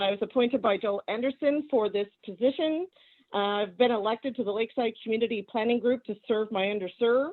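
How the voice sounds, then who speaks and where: With an American accent, a woman speaks at a fairly quick pace with ordinary pitch variation and an ordinary speaking voice. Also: fairly high pitch for a woman. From San Diego, California. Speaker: veteran, committee member. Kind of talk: meeting self-introduction.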